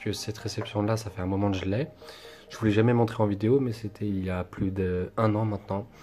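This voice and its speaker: Talking fairly fast, a man keeps a fairly low pitch and a monotone, flat intonation. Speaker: card collector YouTuber. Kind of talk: unboxing presentation video. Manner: hesitant, many fillers and repetitions.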